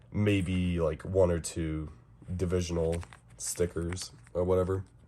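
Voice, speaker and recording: A man speaks with a very deep, low pitch. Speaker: scale model reviewer. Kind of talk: product review, casual unboxing. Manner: casual, with hesitations.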